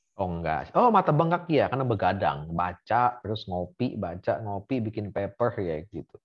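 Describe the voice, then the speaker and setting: Over a quiet background, a man with a fairly low voice talks at a moderate pace, his pitch swinging very widely and hardly pausing at all. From Indonesia, Bandar Lampung; Indonesia. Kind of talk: casual interview. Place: home room. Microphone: video call.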